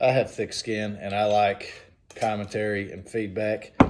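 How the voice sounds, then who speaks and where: In a Southern US accent, a man speaks at a moderate pace with a fairly low pitch. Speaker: whiskey reviewer. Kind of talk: casual tasting review. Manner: hesitant, many fillers.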